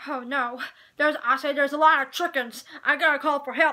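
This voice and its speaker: A cartoonish character voice, high-pitched and fairly quick. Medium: puppet. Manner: blustery, stammering.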